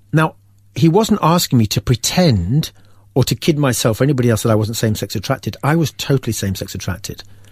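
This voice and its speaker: Speaking very fast with an English accent, a man has a medium pitch, a somewhat breathy voice and lively intonation in a dry, close sound with no echo. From England. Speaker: faith testimony guest. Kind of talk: testimony. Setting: studio.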